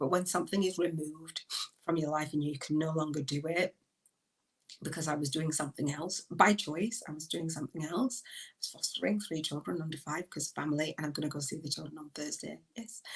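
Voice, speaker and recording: Animated in tone, a woman with a northern English accent speaks at a fairly quick pace. Her pitch is very deep and low, with ordinary pitch variation. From northern England, Leeds. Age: 50s. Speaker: podcast host. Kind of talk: live stream monologue. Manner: loud.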